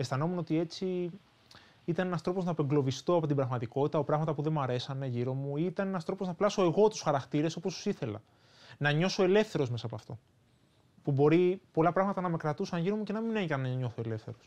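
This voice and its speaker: A man with a fairly high pitch and lively intonation speaks at a very fast pace over a quiet background. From Greece, Athens area. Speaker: author. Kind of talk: interview.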